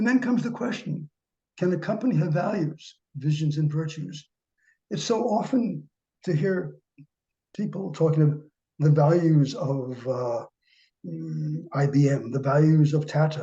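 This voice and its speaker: A man's fairly high voice with a dark, mellow tone, lively intonation, a fairly slow pace and long, frequent pauses. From US Northeast, New York City. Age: 80s+. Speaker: professor. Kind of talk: lecture.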